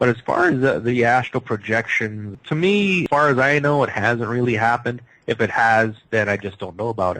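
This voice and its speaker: Bright and sharp in tone, the voice moves at a fairly quick pace with ordinary pitch variation and hardly any pauses. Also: man, medium pitch for a man. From Canada. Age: 50s. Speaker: psychic healer. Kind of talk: radio interview.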